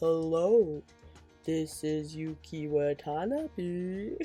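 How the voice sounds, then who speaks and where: A put-on character voice at a middle pitch, very slow pace, faint music playing in the background. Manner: slow, drawn-out.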